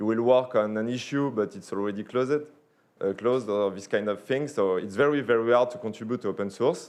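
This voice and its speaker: A man at medium pitch with a slight French accent, fairly quick pace, and ordinary pitch variation. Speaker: sponsor representative. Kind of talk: sponsor pitch. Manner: halting.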